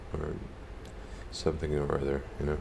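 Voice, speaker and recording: Noticeable background noise and audible room echo fill the space. In it, a man keeps a moderate pace. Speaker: gaming streamer. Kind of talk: casual chat. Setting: live stream.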